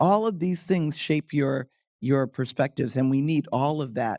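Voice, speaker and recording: At a moderate pace, a woman speaks with a very deep, low pitch and a dark, mellow tone, captured dry and close with no echo. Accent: American. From United States. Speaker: diplomat. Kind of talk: panel discussion.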